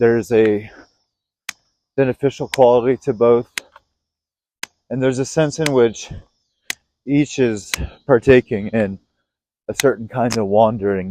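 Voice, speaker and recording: Pausing long and often, a man speaks at a fairly slow pace in a dark, mellow tone, the sound dry and close with no echo. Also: medium pitch for a man, fairly even intonation. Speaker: podcaster recording personal reflections. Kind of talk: thinking-aloud monologue. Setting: outdoors, walking at night.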